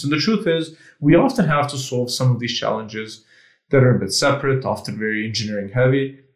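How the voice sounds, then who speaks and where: Somewhat breathy, a man of medium pitch speaks at a very fast pace with lively intonation. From Serbia. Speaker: AI company founder. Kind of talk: casual interview. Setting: video call.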